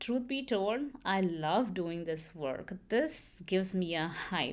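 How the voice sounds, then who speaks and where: A woman with a Kannada accent, very slow in pace, with lively intonation. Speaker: podcast host. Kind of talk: personal storytelling monologue. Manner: animated.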